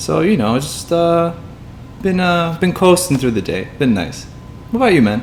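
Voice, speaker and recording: Over noticeable background noise, a man with an American accent talks at a moderate pace, his high pitch moving in very wide swings. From US Midwest, Illinois. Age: 20s. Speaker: podcast co-host. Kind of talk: casual chat. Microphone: poor audio quality.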